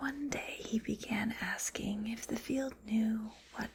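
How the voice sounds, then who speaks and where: Soft-spoken and gentle in tone, a woman talks at a fairly high pitch with fairly even intonation. Noticeable background noise can be heard. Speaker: teacher, ASMR creator. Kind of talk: soft storybook read-aloud. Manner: soft-spoken, gentle, slow.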